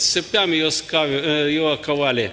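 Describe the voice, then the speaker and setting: A man projects a raised voice while keeping a moderate pace. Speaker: preacher. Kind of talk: sermon. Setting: church. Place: church. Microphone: podium.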